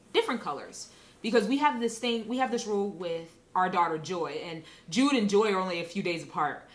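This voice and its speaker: With audible room echo, a woman at medium pitch talks at a fairly quick pace with lively intonation. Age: 30s. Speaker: interview guest sharing experiences of race. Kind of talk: casual interview conversation. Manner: conversational with frequent fillers.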